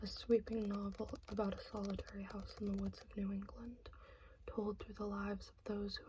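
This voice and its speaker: Whispering and soft-spoken, the voice moves at a moderate pace. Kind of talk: ASMR book haul talk. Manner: soft-spoken, whispered.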